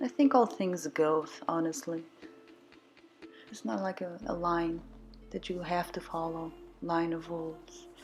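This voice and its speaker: With music in the background, a woman speaks slowly-ish at a fairly slow pace in a fairly low voice. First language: not English. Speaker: watercolour artist. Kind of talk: painting tutorial voiceover. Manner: casual, hesitant.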